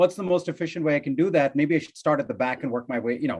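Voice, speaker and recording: Lively intonation runs through this man's speech. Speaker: thesis committee member. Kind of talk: academic Q&A.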